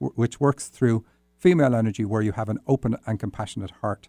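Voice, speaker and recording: Speaking at a very fast pace, a man with an Irish accent has a dark, mellow tone, a medium pitch and ordinary pitch variation. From Ireland. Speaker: dream interpretation podcast host. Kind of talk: solo podcast, reading and interpreting listener dreams. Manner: tends to talk fast; hesitant, many fillers.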